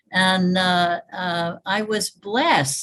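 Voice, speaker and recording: A medium-pitched woman with a Northeastern US accent and ordinary pitch variation. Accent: American, Northeastern. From US Northeast (upstate New York, Hudson Valley). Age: 80s+. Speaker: evolution biologist and futurist. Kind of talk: interview, personal storytelling.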